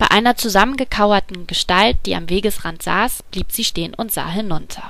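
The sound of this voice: The delivery comes in an unforced reading voice.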